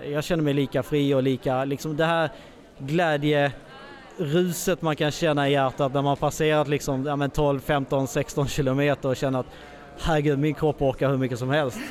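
The voice is monotone and flat in intonation, held at a very even loudness and a moderate pace. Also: man, fairly high pitch for a man. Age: 30s. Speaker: blind runner. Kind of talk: interview, personal story. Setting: expo with mobile podcast studio.

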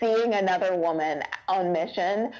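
Noticeable background noise runs behind a woman's voice. Her pitch is medium, with ordinary variation. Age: 30s. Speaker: foster mom and church assistant. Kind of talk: casual chat.

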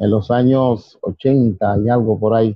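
A man with a Dominican accent speaks with ordinary pitch variation. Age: 50s. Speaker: civil defense emergency brigade chief. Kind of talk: interview.

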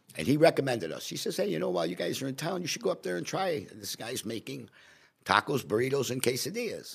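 Medium-pitched male voice with vocal fry, very wide pitch swings and a very fast pace. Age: 70s. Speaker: restaurant owner. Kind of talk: casual chat.

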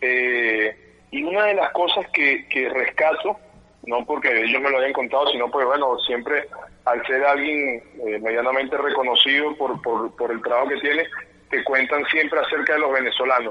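The pace of the speech is moderate. Noticeable background noise runs underneath. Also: man, fairly high pitch for a man, ordinary pitch variation. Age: 30s. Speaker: football coach. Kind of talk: interview.

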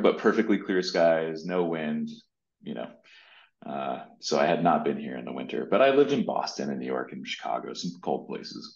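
A man's very deep, low voice with vocal fry. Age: 30s. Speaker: startup founder and CEO. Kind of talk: interview.

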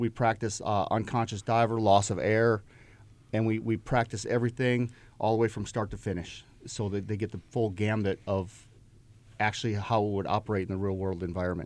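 Fairly low in pitch, a man with an American accent speaks in an unremarkable speaking voice at a fairly quick pace with fairly even intonation. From Upper Peninsula of Michigan. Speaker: navy diver. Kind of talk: radio interview.

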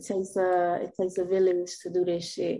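A woman with a South Florida accent talks at a moderate pace in a dark, mellow tone, her intonation monotone and flat. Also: fairly low pitch for a woman. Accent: Southern Florida American.

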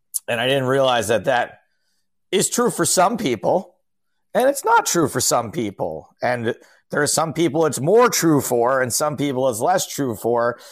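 With an American accent, a man in an ordinary speaking voice talks at a moderate pace, his fairly high pitch carried by lively intonation. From upstate New York (Albany). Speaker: stand-up comedian and poker commentator. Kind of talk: casual chat. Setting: video call.

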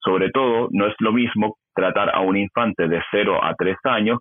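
Speaking at a fairly slow pace, a man with a fairly low pitch has an unremarkable speaking voice. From Chile. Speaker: YouTuber and gender-ideology educator. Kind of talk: interview.

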